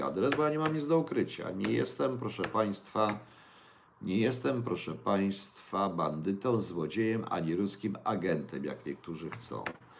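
At a moderate pace, a man with a fairly low pitch makes very wide pitch swings. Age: 60s. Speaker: livestream host. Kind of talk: casual livestream talk with viewer questions. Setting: home kitchen.

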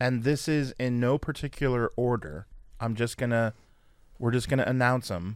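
A plain, everyday voice in an American accent moves at a moderate pace with ordinary pitch variation. The recording is very clean, with a silent background. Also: man, medium pitch for a man. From San Francisco Bay Area, then Fort Wayne, Indiana. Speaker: sports podcast co-host. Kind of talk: casual chat.

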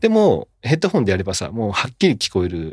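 A man's medium-pitched voice at a very fast pace, in a dry, close sound with no echo. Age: 40s. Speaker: podcast host. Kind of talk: casual chat. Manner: animated.

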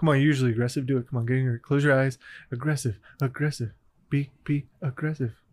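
Very fast and playful, a man with an American accent talks at a medium pitch in a somewhat breathy voice with fairly even intonation, on a very clean recording with a silent background. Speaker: podcast co-host. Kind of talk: casual banter, comedy chat. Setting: studio booth. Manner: joking, playful.

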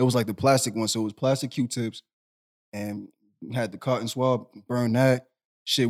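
In an ordinary speaking voice with an American accent, a man of medium pitch talks at a fairly quick pace with fairly even intonation. The recording is very clean, with a silent background and a dry, close sound with no echo. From Boston, Massachusetts. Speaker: podcast co-host. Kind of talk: casual chat.

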